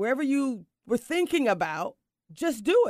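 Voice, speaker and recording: A woman's animated voice with very wide pitch swings. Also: dry, close sound with no echo. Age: 50s. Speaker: success coach and podcast host. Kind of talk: casual chat. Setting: video call.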